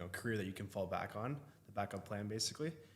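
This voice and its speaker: The speech moves at a very fast pace. It carries a Texan accent. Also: man. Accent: Texan American English. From Austin, Texas. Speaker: realtor and content creator. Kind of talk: podcast interview. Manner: casual, slightly halting.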